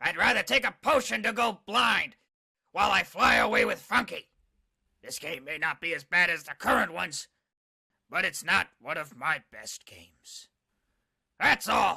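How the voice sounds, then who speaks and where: A cartoonish, grumpy character voice from a man, high-pitched, at a moderate pace with long, frequent pauses. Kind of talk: video game review. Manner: grumpy, cantankerous.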